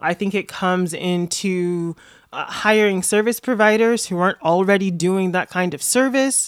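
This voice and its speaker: In a very clean recording with a silent background, a woman with a plain, everyday voice speaks at medium pitch with ordinary pitch variation. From Florida, US South. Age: 30s. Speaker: activist and city council candidate. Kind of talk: casual interview conversation. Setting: her apartment, in person.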